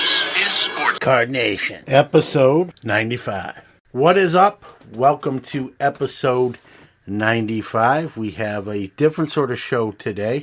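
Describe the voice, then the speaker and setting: Lively intonation marks a man's unremarkable speaking voice. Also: medium pitch for a man, fairly slow pace. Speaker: podcast host. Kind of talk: podcast intro and ad read.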